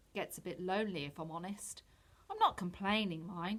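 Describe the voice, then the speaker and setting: A husky, put-on character voice. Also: female-sounding voice. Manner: wistful, lonely.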